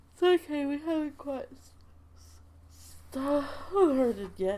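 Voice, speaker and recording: Long, frequent pauses break up a woman's very slow speech, with noticeable background noise behind it. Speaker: game streamer. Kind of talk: let's play stream chat. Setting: home, in bed at computer. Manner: casual, hesitant with fillers.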